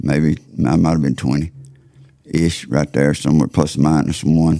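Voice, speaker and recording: In a Southern US accent, the voice carries a dark, mellow tone with vocal fry, monotone, flat intonation and very even loudness. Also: man, very deep, low pitch for a man, fairly slow pace. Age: 60s. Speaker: turkey call maker. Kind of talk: casual interview chat.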